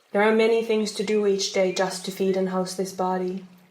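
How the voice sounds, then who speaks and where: Monotone, flat intonation from a woman at medium pitch, moderate pace, audible room echo. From Finland. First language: Finnish. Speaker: folk herbalist and storyteller. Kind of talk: reading aloud; casual self-introduction.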